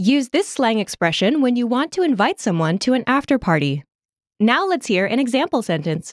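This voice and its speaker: In a very clean recording with a silent background and a dry, close sound without echo, a woman speaks at a high pitch with very wide pitch swings, very even loudness and a moderate pace. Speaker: language lesson host. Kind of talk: language lesson. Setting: studio. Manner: clear instructional delivery.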